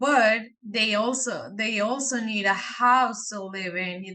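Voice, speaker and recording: A woman with a strong Mexican accent talks at a fairly slow pace, medium pitch and fairly even intonation over noticeable background noise. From Mexico. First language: Spanish. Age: young. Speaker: real estate investor. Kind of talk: interview.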